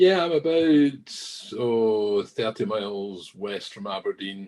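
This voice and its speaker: A man talks in a Scottish accent. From southwest Scotland. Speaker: whisky industry manager. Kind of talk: podcast interview.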